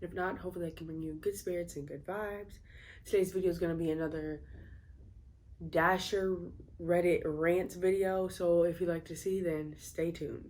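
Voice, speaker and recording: This woman speaks at a fairly low pitch in a monotone, flat delivery, with audible echo from the room. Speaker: food delivery driver and YouTuber. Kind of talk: casual reading and reacting to posts. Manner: casual, a bit halting.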